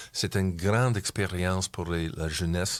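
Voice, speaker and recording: Speaking very slowly with fairly even intonation, a man with an English accent has a very deep, low pitch in a very clean recording with a silent background. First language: English (speaking French). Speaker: community club member. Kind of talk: interview. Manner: halting.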